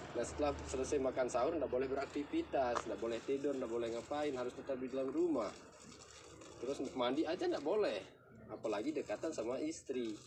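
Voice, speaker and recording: A man at a very fast pace, with ordinary pitch variation, against noticeable background noise. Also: medium pitch for a man. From Lombok, Indonesia (Sasak). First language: Sasak (speaking Indonesian). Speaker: local village guide. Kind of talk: explanatory tour talk.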